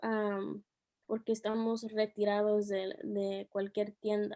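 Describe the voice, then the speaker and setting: A woman with a fairly high voice and a dark, mellow tone speaks very slowly in a dry, close recording with no echo. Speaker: teacher. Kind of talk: interview. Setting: video call. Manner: soft-spoken; halting.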